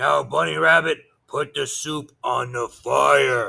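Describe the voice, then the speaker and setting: This man puts on a character voice, raspy and growling at medium pitch. His pace is fairly slow. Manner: snarling.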